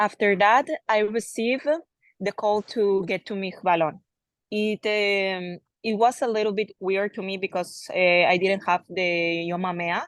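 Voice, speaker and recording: Against a quiet background, a woman with a Spanish accent talks at a fairly slow pace and medium pitch, the sound dry and close with no echo. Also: fairly even intonation. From Colombia. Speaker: soldier. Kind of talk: personal testimony.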